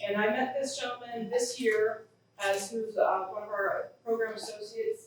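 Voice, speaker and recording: A woman speaks at a fairly high pitch with ordinary pitch variation. Audible room echo is present. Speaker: fire science program leader. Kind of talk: ceremony speech.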